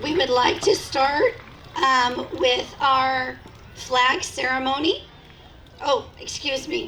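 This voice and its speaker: A woman's high, raised and projected voice at a very slow pace, lively intonation, long and frequent pauses, noticeable background noise. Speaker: school principal. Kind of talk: ceremony speech. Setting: school event with audience. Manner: formal.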